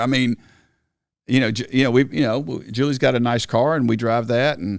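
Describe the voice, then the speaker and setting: A man speaks at a fairly quick pace with medium pitch and ordinary pitch variation in a normal speaking voice. The recording is very clean, with a silent background. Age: 60s. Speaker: senior pastor. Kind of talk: casual chat.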